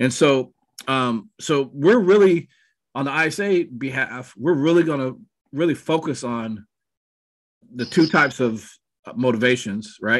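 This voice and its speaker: Against a quiet background, a man speaks at a fairly slow pace with ordinary pitch variation and long, frequent pauses. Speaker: real estate team coach. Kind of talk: training talk on a video call. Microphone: webcam.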